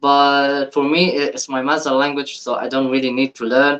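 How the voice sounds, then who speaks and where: The speech has an Arabic accent and a dry, close sound with no echo. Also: man. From Egypt. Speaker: YouTube reactor. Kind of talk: reaction video commentary. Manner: halting, repeats words.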